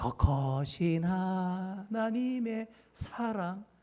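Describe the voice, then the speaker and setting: The delivery is in a put-on character voice. Each word comes very slowly. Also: female-sounding voice, medium pitch for a woman. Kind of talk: dialect demonstration.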